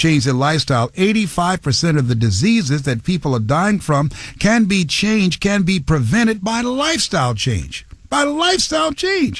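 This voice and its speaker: A man speaks at a moderate pace with very wide pitch swings. His voice is somewhat breathy. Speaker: motivational speaker and radio host. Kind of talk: motivational radio talk show.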